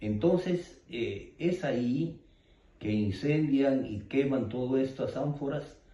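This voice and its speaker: Audible room echo around a man's somewhat breathy voice with a dark, mellow tone. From Peru, Ayacucho (Andes). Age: 60s. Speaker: eyewitness of armed conflict. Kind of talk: interview testimony. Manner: halting, many fillers.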